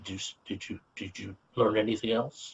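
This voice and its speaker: A man puts on a character voice at a fairly low pitch. He delivers it at a moderate pace. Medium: solo performance. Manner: hesitant, stammering.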